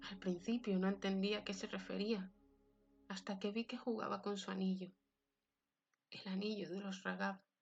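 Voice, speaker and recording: Over music in the background, a woman speaks at a medium pitch and a moderate pace. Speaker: narrator. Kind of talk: fiction reading.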